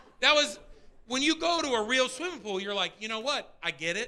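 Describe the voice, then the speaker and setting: Lively intonation marks a voice that is raised and projected. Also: man. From Pittsburgh, Pennsylvania. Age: 40s. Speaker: stand-up comedian. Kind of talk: live stand-up comedy set. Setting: comedy club stage, live audience. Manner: energetic.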